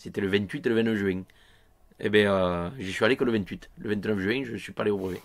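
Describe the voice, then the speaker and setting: A man at a very fast pace, with a fairly low pitch. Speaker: local villager. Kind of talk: interview. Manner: animated, emphatic.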